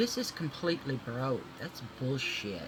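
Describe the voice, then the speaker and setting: A woman with a Southern US accent, lively intonation and a fairly slow pace, over noticeable background noise. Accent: US South. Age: 60s. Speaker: beauty vlogger. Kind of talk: casual makeup tutorial chat. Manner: animated.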